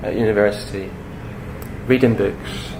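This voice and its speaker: With a Scottish accent, a man speaks over noticeable background noise, and the room echo is audible. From Scotland. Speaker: speaker on imagination and psychology. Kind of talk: public talk. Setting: talk to an audience.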